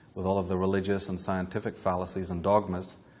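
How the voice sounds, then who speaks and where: In a room with audible echo, a man speaks in a very deep, low pitch with monotone, flat intonation. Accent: Northern Irish. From Northern Ireland, Belfast. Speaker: lecturer on esoteric history. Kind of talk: lecture. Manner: formal.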